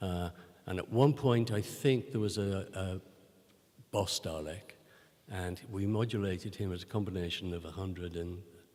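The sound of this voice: At a fairly slow pace, a man speaks in a low pitch. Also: ordinary pitch variation, slightly mellow tone.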